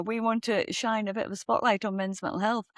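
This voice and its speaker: A woman with a Northeast England accent speaks at a very fast pace and a fairly high pitch. The sound is dry and close, with no echo. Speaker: podcast co-host. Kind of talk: casual chat.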